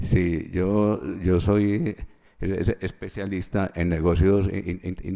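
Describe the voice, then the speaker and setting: The delivery is very slow, with monotone, flat intonation and a dark, mellow tone. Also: man, very deep, low pitch for a man. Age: 60s. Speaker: witness, chemical engineer. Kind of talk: court testimony.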